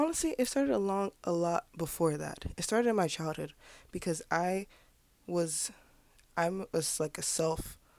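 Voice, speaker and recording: Animated in tone with lively intonation, a woman with a fairly low pitch talks at a moderate pace on a very clean recording with a silent background. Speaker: artist vlogger. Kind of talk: casual vlog monologue.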